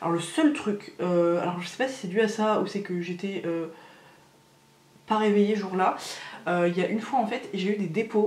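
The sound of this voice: A woman speaks at a medium pitch with a slightly mellow tone. Audible room echo is present.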